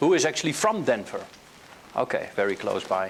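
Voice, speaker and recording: A man with a Dutch accent at a fairly quick pace, with noticeable background noise. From Netherlands. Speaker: hypnotherapy trainer. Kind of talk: workshop lecture. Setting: training room with live group. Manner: hesitant with filler words.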